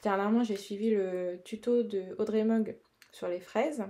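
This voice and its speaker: A woman speaks fairly slowly in a dark, mellow tone at a fairly high pitch. Her intonation stays fairly even, and the recording is very clean with a silent background. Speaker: colouring artist youtuber. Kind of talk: tutorial. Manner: casual, hesitant with fillers.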